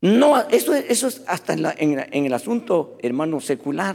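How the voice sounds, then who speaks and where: Very wide pitch swings at a moderate pace. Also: man. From rural Latin America. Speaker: pastor. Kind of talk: sermon.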